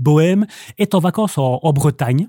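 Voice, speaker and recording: Dry and close with no echo, a man's dark, mellow voice sits at fairly high pitch and moves at a moderate pace. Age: 40s. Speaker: bookseller. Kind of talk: casual chat. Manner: halting.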